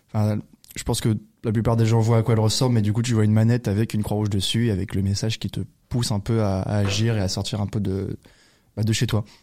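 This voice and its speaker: A fairly low-pitched man's voice, dark and mellow in tone, very fast and monotone, in a very clean recording with a silent background. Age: 20s. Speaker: student volunteer. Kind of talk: casual chat. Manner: hesitant.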